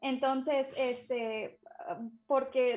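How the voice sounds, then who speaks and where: A woman talks at a high pitch. Her intonation stays flat and monotone. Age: 20s. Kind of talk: interview.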